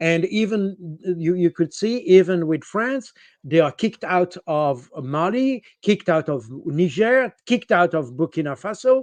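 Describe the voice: Lively intonation marks this man's high voice as he talks at a fairly slow pace.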